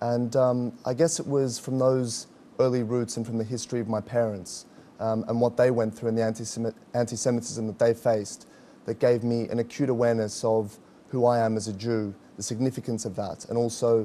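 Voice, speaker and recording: Speaking at a fairly quick pace in an Australian accent, this voice has a dark, mellow tone and a monotone, flat intonation. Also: man, medium pitch for a man. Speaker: activist spokesman. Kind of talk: interview.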